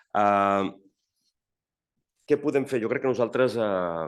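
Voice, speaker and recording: Over a quiet background comes a man's voice with a very deep, low pitch. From Catalonia. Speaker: network secretary general. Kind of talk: panel discussion. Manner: halting.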